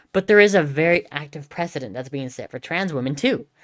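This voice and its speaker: A woman with a Southern California accent, at a fairly quick pace and with lively intonation, on a very clean recording with a silent background. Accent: Valley girl. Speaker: streamer. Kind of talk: casual commentary. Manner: halting, many fillers.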